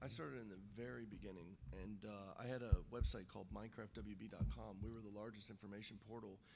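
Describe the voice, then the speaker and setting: Audible room echo surrounds a man speaking at a very fast pace, his fairly low, dark, mellow voice showing vocal fry. His pitch variation is ordinary, with big swings in loudness. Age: 30s. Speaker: game designer and YouTuber. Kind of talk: panel discussion. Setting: stage with audience. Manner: animated storytelling.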